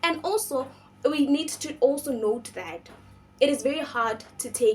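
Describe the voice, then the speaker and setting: A woman's high-pitched voice at a moderate pace, with very wide pitch swings and music in the background. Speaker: book reviewer, channel host. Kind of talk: casual vlog book review. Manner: casual, with fillers and hesitations.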